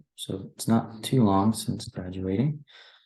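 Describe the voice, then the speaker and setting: A man whispering at a fairly slow pace, somewhat breathy. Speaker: former student society officer. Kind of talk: presentation. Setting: at home.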